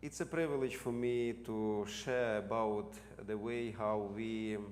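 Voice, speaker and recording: A man speaks at a very slow pace with a medium pitch. His pitch varies in an ordinary way, and room echo is audible. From Ukraine. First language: Ukrainian. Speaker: seminary president and theologian. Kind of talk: lecture.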